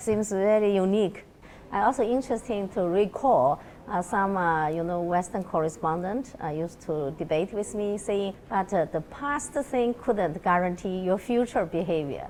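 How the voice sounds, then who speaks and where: This woman's medium-pitched voice moves at a moderate pace with lively intonation. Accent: Chinese. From China. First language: Chinese. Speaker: researcher. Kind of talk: interview conversation.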